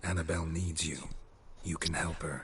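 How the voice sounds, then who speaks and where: A man's put-on character voice, very deep and low, flat and monotone, over clear background noise. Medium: video game. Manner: terse, flat, clipped.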